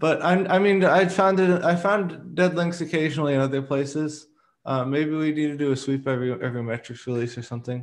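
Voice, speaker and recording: Over a quiet background, a man with a fairly high voice talks at a fairly quick pace with ordinary pitch variation. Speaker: meeting facilitator, open-source working group. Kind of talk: work meeting discussion. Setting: video call. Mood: light, self-deprecating. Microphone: video call.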